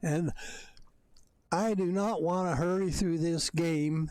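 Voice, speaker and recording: A man speaks at a very slow pace. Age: old. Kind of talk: gameplay commentary. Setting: at home, bedroom. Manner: halting.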